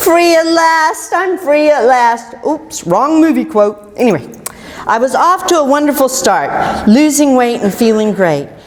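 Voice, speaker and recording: A woman's high-pitched voice in an American accent, fairly slow, with very wide pitch swings and very even loudness, amid noticeable background noise and audible room echo. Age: 60s. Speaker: keto success story speaker. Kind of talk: prepared personal testimony talk.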